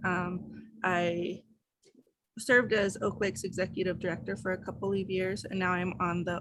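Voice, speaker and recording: This woman's medium-pitched voice carries vocal fry. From Denver, Colorado. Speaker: professor and writing society board member. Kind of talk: virtual meeting introductions. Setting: video call. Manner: many filler words (um).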